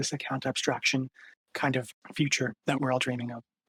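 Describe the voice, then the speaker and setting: This is a normal speaking voice at a fairly quick pace. The sound is dry and close, with no echo. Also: man. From Canada. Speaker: tech startup co-founder. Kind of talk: podcast interview.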